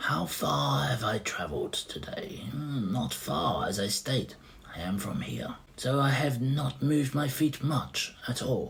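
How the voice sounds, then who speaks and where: Using a raspy, put-on character voice, a man speaks at a medium pitch and a fairly slow pace. Light background noise can be heard. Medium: read story. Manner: courteous, riddling.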